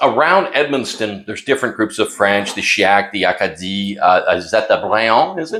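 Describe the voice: A man's fairly low-pitched voice with a fairly bright tone and lively intonation. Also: moderate pace.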